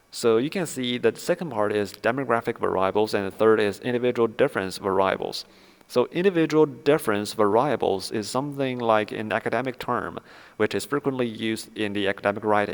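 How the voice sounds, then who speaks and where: Speaking at a fairly quick pace with a Chinese accent, this voice has ordinary pitch variation. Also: man, medium pitch for a man. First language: Mandarin Chinese. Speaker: academic research explainer. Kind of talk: lecture. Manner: halting, many fillers.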